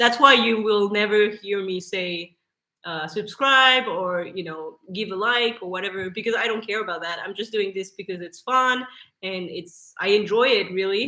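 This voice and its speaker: Speaking at a moderate pace, a woman with a French accent has a medium-pitched voice and a bright, sharp tone. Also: ordinary pitch variation, big swings in loudness. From France. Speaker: YouTuber. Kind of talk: casual chat. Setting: live stream. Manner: halting.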